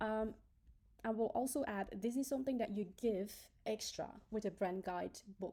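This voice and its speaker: A woman with a non-native accent has a fairly high pitch and a dark, mellow tone. She keeps a moderate pace with ordinary pitch variation and long, frequent pauses. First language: not English. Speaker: graphic designer. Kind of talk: tutorial. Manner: hesitant, many filler ums.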